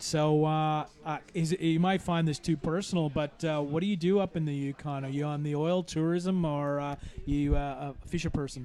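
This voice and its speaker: A man with a Canadian accent speaks in an ordinary speaking voice, fairly high-pitched for a man, with fairly even intonation and hardly any pauses. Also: moderate pace. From Canada, Toronto. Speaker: sports commentator. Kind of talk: live commentary. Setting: aquatic centre commentary.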